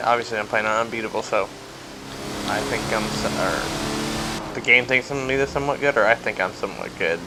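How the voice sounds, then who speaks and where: A man with an American accent talks while noticeable background noise carries on behind him. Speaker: gaming YouTuber. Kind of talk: gameplay commentary. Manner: casual.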